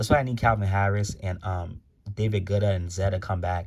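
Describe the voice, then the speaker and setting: A man speaks in a fairly low, somewhat breathy voice. The recording is very clean, with a silent background. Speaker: music commentary YouTuber. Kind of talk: casual vlog commentary. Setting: home, in his room. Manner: fast; stuttering, many fillers.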